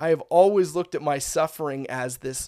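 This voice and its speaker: The recording is very clean, with a silent background. A man with an unremarkable speaking voice talks at a fairly high pitch with ordinary pitch variation. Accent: Canadian. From Ontario, Canada (Bradford area). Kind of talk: testimony.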